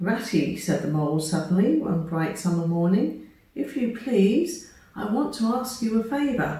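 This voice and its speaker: Against noticeable background noise, a woman talks at a fairly slow pace. Her medium-pitched voice moves in very wide pitch swings. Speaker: storyteller. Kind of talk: children's story reading.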